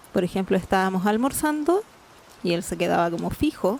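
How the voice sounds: A woman with vocal fry talks at a fairly quick pace in a slightly mellow tone, her medium pitch carrying lively intonation.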